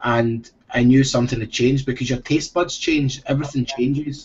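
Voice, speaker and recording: Somewhat breathy, a man with a Scottish accent speaks at a fairly quick pace. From Scotland. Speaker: former professional soccer player. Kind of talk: interview answer.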